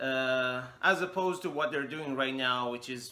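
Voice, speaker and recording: A man speaks at a fairly slow pace with a non-native accent and a medium pitch, over noticeable background noise. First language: not English. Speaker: English teacher. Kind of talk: vlog monologue. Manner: halting, many fillers.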